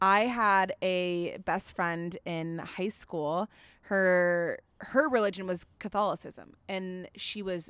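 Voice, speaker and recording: A woman speaks at a medium pitch with an American accent and ordinary pitch variation. It is an unremarkable speaking voice, on a very clean recording with a silent background. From Florida, US. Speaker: podcast co-host, mother. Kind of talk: casual chat. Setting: outdoors at parents' house.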